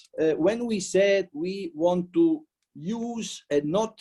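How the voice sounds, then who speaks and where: The voice carries a dark, mellow tone and lively intonation. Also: man. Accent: Italian. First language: Italian. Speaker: politician. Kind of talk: welcome speech. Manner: halting.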